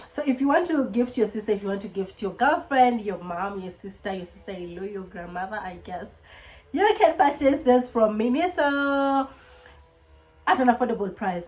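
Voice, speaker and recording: An animated voice in a Kenyan accent, lively in intonation, with big swings in loudness and music in the background. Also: woman. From Kenya, Nairobi (Langata). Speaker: YouTuber. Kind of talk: casual vlog chat. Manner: fast.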